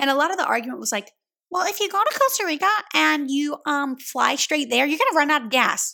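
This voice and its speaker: A woman speaks in a raised, projected voice with an animated tone. She goes at a fairly quick pace, her pitch swinging very widely. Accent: Louisiana. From US South, Louisiana. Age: 20s. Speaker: podcast host. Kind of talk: casual monologue.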